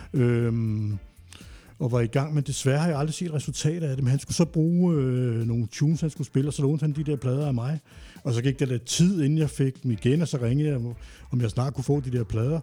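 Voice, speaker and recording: A man with a dark, mellow, somewhat breathy tone and medium pitch speaks at a very fast pace with ordinary pitch variation, recorded very cleanly against a silent background. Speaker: podcast co-host. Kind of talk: casual chat.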